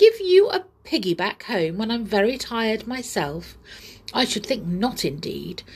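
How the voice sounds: A put-on character voice, slightly mellow with a slightly husky edge, big pitch swings and a fairly slow pace. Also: woman, medium pitch for a woman.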